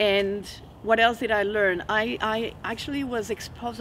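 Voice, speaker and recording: Her pitch fairly high, the woman talks in a Spanish accent. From Venezuela (Caracas). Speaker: hypnotherapist. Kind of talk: personal testimony in a teaching video. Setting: outdoors in a forest.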